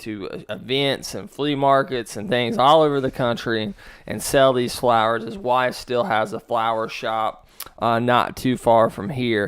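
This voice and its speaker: With an American accent, a man talks at a fairly slow pace and a medium pitch. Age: 30s. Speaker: podcast host. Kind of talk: casual interview. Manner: halting.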